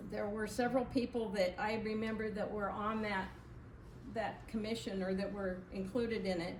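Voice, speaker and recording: A woman speaks at a moderate pace in a fairly high pitch with a monotone, flat intonation, over noticeable background noise and audible room echo. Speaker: historical society charter member. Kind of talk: public talk to audience. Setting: community event with live audience, no microphone. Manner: loud, projecting. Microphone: speaking without microphone.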